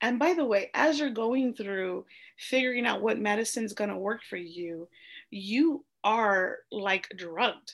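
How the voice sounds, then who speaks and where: A woman speaks at a fairly slow pace with an American accent and a fairly high pitch. Her intonation is lively, and the background is quiet. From US, small town, Mexican American family. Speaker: interview guest sharing ADHD story. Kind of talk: casual interview. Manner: hesitant with fillers.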